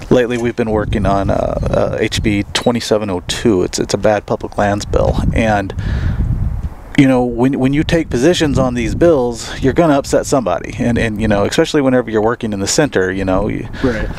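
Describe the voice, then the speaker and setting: A man with an American accent speaks at a moderate speed and mid-range pitch, his intonation ordinary, as noticeable noise fills the background. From US Midwest, Missouri Ozarks. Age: 40s. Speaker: wildlife advocacy coordinator and hunter. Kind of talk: casual interview chat.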